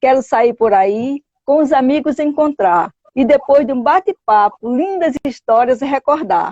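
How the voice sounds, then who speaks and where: High-pitched woman's voice, dark and mellow in tone, at a fairly slow pace with lively intonation. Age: 60s. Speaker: storyteller. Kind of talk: poetry reading.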